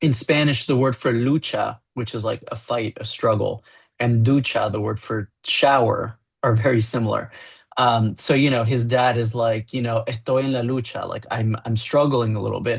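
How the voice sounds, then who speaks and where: Spoken in a Miami accent, the voice is somewhat breathy, with monotone, flat intonation at a moderate pace against a quiet background. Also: man, medium pitch for a man. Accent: Miami American English. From US, Miami. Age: adult. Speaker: graphic novel writer. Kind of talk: interview.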